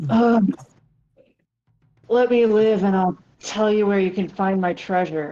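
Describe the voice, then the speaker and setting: A female-sounding put-on character voice growls at a medium pitch and a fairly slow pace, with long, frequent pauses. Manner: growling; pleading.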